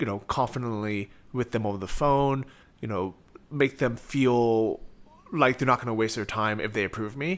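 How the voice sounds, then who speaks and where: The speaker is a man with an American accent and an unremarkable speaking voice. His pitch is medium, with ordinary variation. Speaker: interviewer, e-commerce entrepreneur. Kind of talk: interview.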